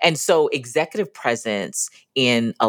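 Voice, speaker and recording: A woman with an American accent speaks at a very slow pace. Her pitch is very deep and low. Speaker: podcast co-host and business founder. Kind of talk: casual conversation podcast.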